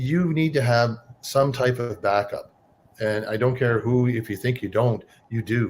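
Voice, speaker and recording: The man's voice sits at medium pitch with ordinary pitch variation. It is somewhat breathy and fairly slow in pace. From Cape Breton, Nova Scotia, Canada. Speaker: online business owner, former trucker. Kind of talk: casual interview.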